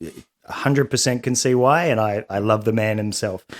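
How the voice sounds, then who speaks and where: The recording is very clean, and the background is silent. The voice carries an Australian accent. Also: man. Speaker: beverage company founder. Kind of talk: casual chat.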